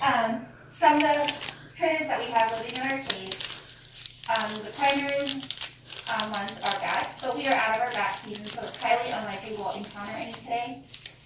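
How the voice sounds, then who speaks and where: A woman at a fairly quick pace, with audible room echo and noticeable background noise. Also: ordinary pitch variation. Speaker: cave tour guide. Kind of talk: guided tour talk. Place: tunnel cave. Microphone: camera far.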